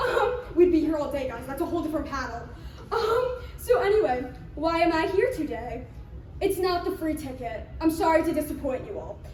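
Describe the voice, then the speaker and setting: Loud and at an extremely high pitch, a woman speaks at a moderate pace with very wide pitch swings, amid noticeable background noise and audible room echo. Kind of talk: convention panel talk. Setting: convention room with live audience, no microphone. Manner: loud projected stage voice; hesitant, many filler words. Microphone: no microphone, projecting voice.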